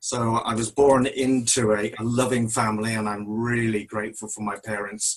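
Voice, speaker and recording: Monotone, flat intonation carries this fairly slow delivery. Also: man. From West Country, Devon (Tiverton). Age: 60s. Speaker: church member. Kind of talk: testimony.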